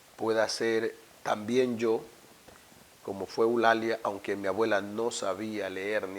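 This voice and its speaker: A man's fairly low, monotone, flat voice at a very slow pace over noticeable background noise. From Ecuador, Esmeraldas province (Afro-Ecuadorian). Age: 50s. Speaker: university rector. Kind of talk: interview. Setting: office. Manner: reflective, some stammering.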